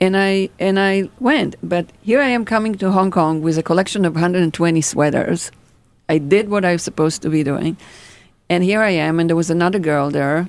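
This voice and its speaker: A woman with an Israeli accent speaks fairly quickly at a fairly low pitch, with ordinary pitch variation and very even loudness. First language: Hebrew. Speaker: fashion designer. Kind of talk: interview storytelling. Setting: podcast. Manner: animated.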